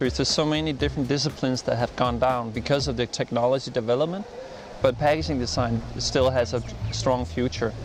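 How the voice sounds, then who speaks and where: Speech in a Danish accent comes at a fairly quick pace. Noticeable background noise is present. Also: man. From Denmark. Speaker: design expert. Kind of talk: interview. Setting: design festival interview. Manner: halting.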